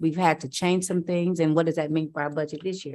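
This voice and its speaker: A woman with an American accent speaks at a very fast pace in a very deep, low pitch, keeping fairly even intonation. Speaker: city council member. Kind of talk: council meeting discussion. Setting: council chambers. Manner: halting.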